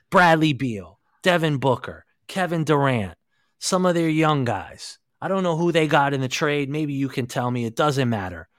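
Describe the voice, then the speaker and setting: A normal speaking voice from a man, fairly high in pitch, moderate in pace, with lively intonation, on a very clean recording with a silent background. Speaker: podcast host. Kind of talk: casual sports chat.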